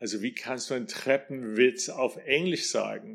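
An American-accented man speaks at a medium pitch. The recording is very clean with a silent background. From US, New York. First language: English (speaking German). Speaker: NLP trainer and singing teacher. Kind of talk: solo podcast talk.

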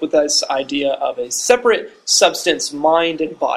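A man speaks with a high-pitched voice. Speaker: podcast host. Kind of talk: casual discussion. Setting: campus studio.

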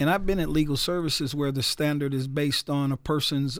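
A man with an American accent speaks at a fairly quick pace in a normal speaking voice, his pitch fairly high, on a very clean recording with a silent background. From US Northeast, Newark, New Jersey. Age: 60s. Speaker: radio DJ and attorney. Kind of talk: radio interview.

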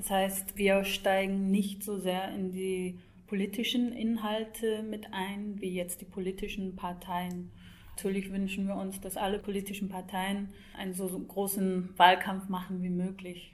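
Against audible room echo, a woman speaks at a fairly slow pace in a monotone, flat intonation. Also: medium pitch for a woman. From Scotland. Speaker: EU liaison office youth projects staffer. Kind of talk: interview.

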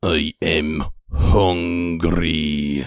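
A put-on character voice from a man, growling and very deep, with monotone, flat intonation

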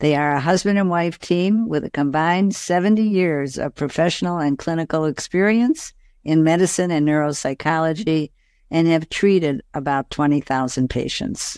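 Here is a normal speaking voice from a woman, fairly low in pitch, at a moderate pace with ordinary pitch variation. The recording is very clean and dry, close and free of echo, with a silent background. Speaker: podcast host. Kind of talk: interview.

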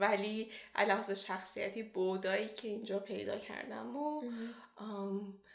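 Room echo is audible as a woman speaks at a fairly slow pace. Her pitch is medium, with ordinary variation. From Iran. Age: 20s. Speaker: PhD student. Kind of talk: interview.

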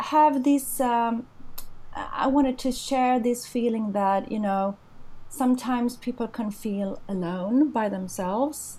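Speaking very slowly in a high pitch, a woman with a Swedish accent has a dark, mellow tone. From Sweden. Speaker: rock singer. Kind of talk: interview.

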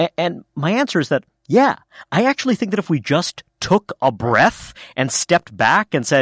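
With an American accent, a man speaks in a normal speaking voice at a fairly quick pace, his intonation lively and the sound dry and close with no echo. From New York City. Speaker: magazine editor and author. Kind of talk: interview.

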